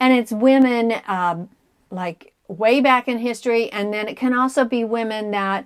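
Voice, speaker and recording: Fairly high in pitch with normal pitch movement, a woman talks in an unremarkable speaking voice. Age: 60s. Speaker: cross stitch video blogger. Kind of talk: casual chat.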